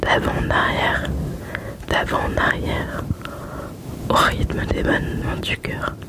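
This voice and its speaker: With noticeable background noise present, the whispering proceeds at a very slow pace broken by long, frequent pauses. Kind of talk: ASMR whispered book reading. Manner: whispered.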